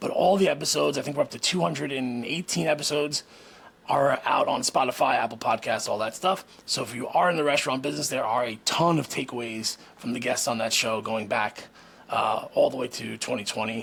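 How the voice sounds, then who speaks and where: A man talks at a fairly quick pace in a medium pitch, using lively intonation and vocal fry. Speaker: podcast host and former restaurant owner. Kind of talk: casual vlog monologue. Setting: garage at home being turned into a studio. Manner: mumbles at times.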